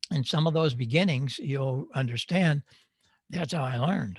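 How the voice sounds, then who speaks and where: A man speaks at a moderate pace with lively intonation and a somewhat breathy voice, the sound dry and close with no echo. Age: 80s+. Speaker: audio engineer and ham radio speaker. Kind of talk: conference talk. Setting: virtual hamfest presentation. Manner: conversational, with frequent fillers.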